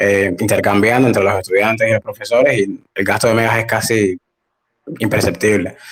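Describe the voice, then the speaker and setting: Monotone, flat delivery from a man, medium in pitch and moderate in pace. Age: 20s. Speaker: language academy founder. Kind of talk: casual interview.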